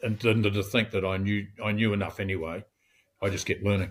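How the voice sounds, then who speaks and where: A somewhat breathy man's voice, fairly low in pitch, with monotone, flat intonation. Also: very clean recording, silent background. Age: 70s. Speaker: real estate agency owner. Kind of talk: interview. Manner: halting.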